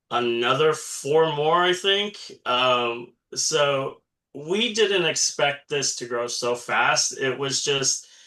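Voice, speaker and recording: The voice has a bright, sharp tone and an American accent. It moves at a very slow pace. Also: man, fairly high pitch for a man, lively intonation. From small country town near Eagle Pass, South Texas. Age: 40s. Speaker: community titleholder, guest. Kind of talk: casual interview chat.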